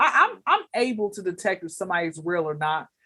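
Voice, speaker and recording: A woman speaks with an American accent. Her tone is animated and her intonation lively. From Atlanta, Georgia, US. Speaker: comedian. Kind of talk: casual interview chat. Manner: loud.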